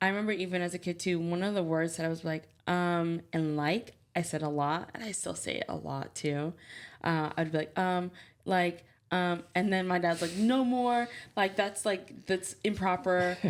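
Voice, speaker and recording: A woman's fairly low voice at a moderate pace, fairly even in intonation, on a very clean recording with a silent background. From New Jersey, US, immigrant parents. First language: Haitian Creole and French. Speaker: podcast co-host, parent. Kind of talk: casual chat. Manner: clearly enunciated.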